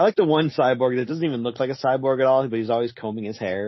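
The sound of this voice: The voice is an unforced reading voice. Its pitch variation is ordinary.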